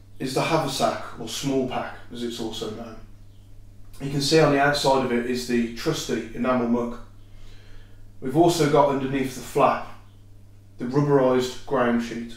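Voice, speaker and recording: At a moderate pace, a man speaks with fairly even intonation and long, frequent pauses, and room echo is audible. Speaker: presenter. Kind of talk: educational explanation. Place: home room. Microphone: camera far.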